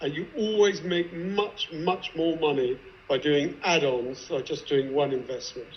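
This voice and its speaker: Noticeable background noise accompanies a man with a fairly high pitch and ordinary pitch variation, speaking at a fairly slow pace. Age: 60s. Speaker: investor. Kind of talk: panel discussion.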